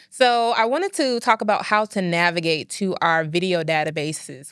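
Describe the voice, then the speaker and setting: Recorded very cleanly with a silent background and a dry, close sound with no echo, a woman speaks at a medium pitch and a moderate pace. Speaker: librarian and podcast co-host. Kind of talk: tutorial walkthrough of library databases. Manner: clear articulation.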